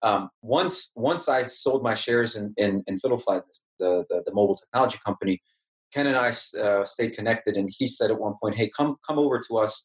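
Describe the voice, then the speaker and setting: A man speaks in an unremarkable speaking voice at medium pitch, fairly quickly, with ordinary pitch variation and a dry, close sound with no echo. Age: 30s. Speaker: tech entrepreneur. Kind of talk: podcast interview.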